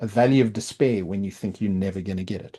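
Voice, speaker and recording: A dark, mellow tone carries this man's speech, with ordinary pitch variation. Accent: South African. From South Africa. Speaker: product and technology leader. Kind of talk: podcast interview.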